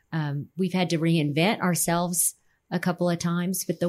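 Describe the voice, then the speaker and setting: A woman with an ordinary speaking voice talks in an American accent at a fairly low pitch with fairly even intonation. The recording is very clean, with a silent background. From Texas, San Antonio (Alamo Heights). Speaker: real estate company president. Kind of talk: casual interview.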